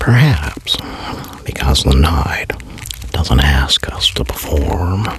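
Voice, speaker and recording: A man with a very deep, low pitch speaks in a calm tone at a very slow pace, with long, frequent pauses and noticeable background noise. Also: lively intonation. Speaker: voice performer / ASMR creator. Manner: slow, calm, reflective, with long pauses.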